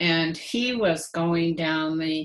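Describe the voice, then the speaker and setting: Here a woman speaks. Her pitch varies in an ordinary way. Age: 70s. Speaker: daughter of a labor organizer. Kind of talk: interview. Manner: halting, many fillers.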